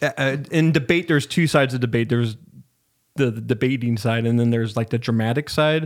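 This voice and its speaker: On a very clean recording with a silent background, a man with an American accent talks at a very fast pace. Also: medium pitch for a man, ordinary pitch variation. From US Northwest, Spokane, Washington. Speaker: podcast studio owner and producer. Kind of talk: casual interview chat. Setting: podcast studio.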